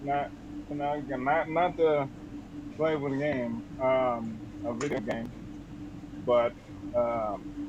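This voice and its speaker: Over noticeable background noise and audible room echo, a man speaks at a very slow pace with long, frequent pauses, using a medium pitch and ordinary pitch variation. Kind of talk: interview. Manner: halting, many fillers and repeats.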